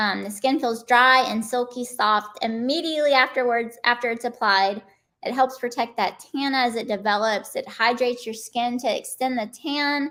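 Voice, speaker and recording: Her voice is an ordinary speaking voice, a woman's with fairly high pitch and fairly even intonation. The recording is very clean, with a silent background. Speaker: spray tan technician. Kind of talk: live stream tutorial. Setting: live stream.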